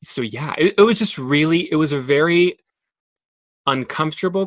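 A man talks at a moderate pace with a fairly high pitch. The sound is dry and close, with no echo. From Monterrey, Mexico. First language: Spanish. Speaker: theater actor, recent graduate. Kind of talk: casual interview conversation.

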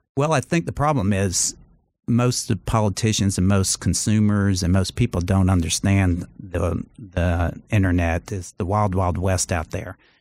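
A man with an American accent and a very deep, low pitch, ordinary pitch variation and a fairly slow pace, on a very clean recording with a silent background. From US South, Charleston, South Carolina. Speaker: lawyer and former TV judge. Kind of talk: casual interview.

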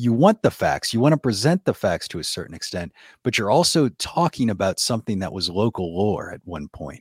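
With an American accent, a man at a medium pitch talks at a moderate pace with very wide pitch swings, in a dry, close sound with no echo and a very clean recording with a silent background. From US South, New Orleans. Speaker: podcast host, ghost storyteller. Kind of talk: casual interview.

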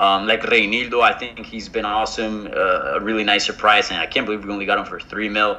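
Against noticeable background noise, a man with a fairly low pitch talks at a very fast pace with hardly any pauses and monotone, flat intonation. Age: 30s. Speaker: football podcast co-host. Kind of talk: casual chat. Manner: hesitant, many fillers.

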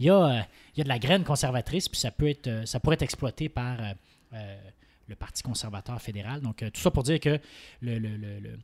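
A man's somewhat breathy voice at medium pitch, with ordinary pitch variation and a fairly quick pace, in a very clean recording with a silent background and a dry, close sound with no echo. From Quebec, Saint-Hyacinthe. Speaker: political commentator and law student. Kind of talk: casual political panel discussion.

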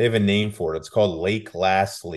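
An unremarkable speaking voice from a man, fairly low in pitch, with ordinary pitch variation. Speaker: football beat reporter, guest. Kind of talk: casual interview chat.

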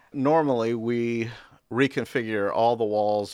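Against a quiet background, a man with an American accent and a plain, everyday voice speaks at a fairly slow pace and fairly low pitch with ordinary pitch variation. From North Carolina, Raleigh. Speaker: museum exhibition designer. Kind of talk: casual interview.

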